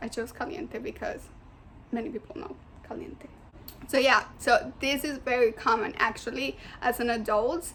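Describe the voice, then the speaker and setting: With a strong non-native accent, a woman speaks in a high pitch with lively intonation at a moderate pace, leaving long, frequent pauses. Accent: thick foreign. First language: Spanish. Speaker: student. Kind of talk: class presentation. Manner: casual, hesitant with fillers.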